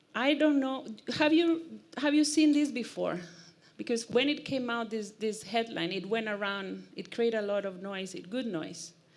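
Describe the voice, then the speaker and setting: A woman speaks at a moderate pace in a fairly high voice with lively intonation. Audible room echo surrounds her. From Costa Rica. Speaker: e-mobility speaker. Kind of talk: conference talk. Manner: animated.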